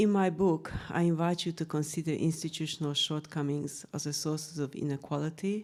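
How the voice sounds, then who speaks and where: A woman with a Hungarian accent speaks with a very deep, low pitch and a dark, mellow tone. Her pace is moderate, her intonation fairly even, and the recording very clean with a silent background. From Hungary. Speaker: researcher and author. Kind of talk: panel talk presentation. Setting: room with live audience. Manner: formal.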